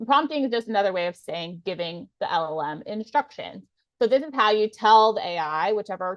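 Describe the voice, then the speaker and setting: A woman with a plain, everyday voice, a fairly high pitch and lively intonation, at a moderate pace, in a dry, close sound with no echo. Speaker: lawyer turned legal tech presenter. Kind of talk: webinar presentation.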